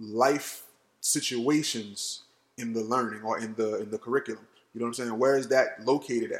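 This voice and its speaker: A man with an American accent talks at a moderate pace. His intonation is fairly even, in a plain, everyday voice. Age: 30s. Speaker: podcast host. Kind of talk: casual chat.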